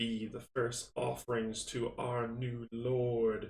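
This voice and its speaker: In a put-on character voice at a medium pitch, a man cackles and speaks at a very slow pace, with a slight echo. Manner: cackling.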